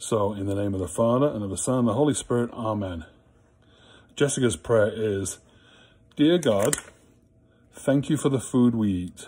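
A man speaks at a moderate pace with ordinary pitch variation, a dark, mellow tone and a warm, playful tone, leaving long, frequent pauses. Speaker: school prayer leader. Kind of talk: school morning prayer, led with the children's prayers and a Hail Mary. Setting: recorded video message to students at home. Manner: warm, playful and teacherly, then reverent and fervent in prayer. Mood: calm, warm. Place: home room. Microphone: phone near.

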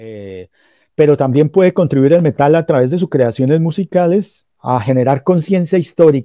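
In a dry recording with no echo and a quiet background, a man with a dark, mellow tone and fairly high pitch speaks at a moderate pace with lively intonation. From Colombia, Cúcuta and Pamplona (Norte de Santander); Norte de Santander, Colombia. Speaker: professor and metal journalist; professor, metal journalist. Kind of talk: lecture-style talk in a streamed panel. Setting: video call. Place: home room. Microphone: video call.

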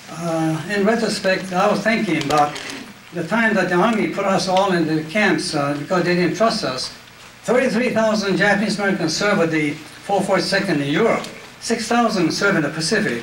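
Amid light background noise and audible room echo, a man talks at a moderate pace in a high voice with ordinary pitch variation. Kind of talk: public talk, personal memoir. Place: hall. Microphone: handheld.

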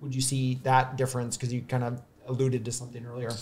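Somewhat breathy speech with an American accent. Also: man. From US Midwest. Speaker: podcast host. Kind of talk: casual interview. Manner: halting, many fillers. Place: studio. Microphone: studio mic.

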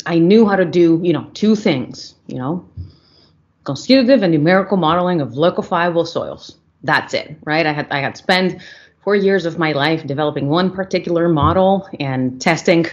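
A woman's fairly low voice at a moderate pace, with ordinary pitch variation. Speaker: guest. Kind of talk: interview answer. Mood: reflective, friendly. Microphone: video call.

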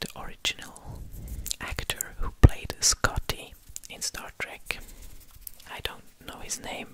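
Whispering, a man speaks at a fairly slow pace. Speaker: ASMR content creator. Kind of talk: whispered ASMR facts narration. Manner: whispering, soft. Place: studio. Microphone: studio mic.

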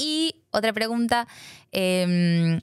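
The setting is quiet. Her intonation is lively as the woman talks. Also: dry sound with no echo. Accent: Rioplatense. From Argentina. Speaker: podcast host. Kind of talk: casual interview chat. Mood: warm, smiling. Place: studio. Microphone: studio mic.

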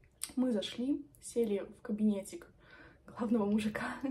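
A woman's fairly high-pitched voice carries ordinary pitch variation. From Belarus. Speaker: medical student and video blogger; medical student vlogger. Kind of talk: vlog monologue. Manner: chatty. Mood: animated, slightly defiant storytelling. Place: home room. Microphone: phone near.

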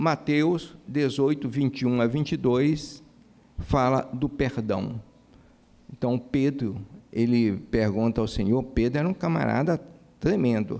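A man's dark, mellow voice at a very slow pace, with long, frequent pauses, very even loudness and ordinary pitch variation. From Brazil, Maranhão (São Luís); Maranhão, Brazil. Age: 60s. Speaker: cardiologist and church speaker; speaker. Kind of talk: lecture. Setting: church with audience. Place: church. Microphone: podium.

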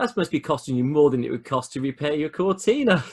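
A somewhat breathy man with very wide pitch swings, against a quiet background. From Birmingham, England. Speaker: podcast host. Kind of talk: casual interview. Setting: video call. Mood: friendly, joking. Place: home room. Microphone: video call.

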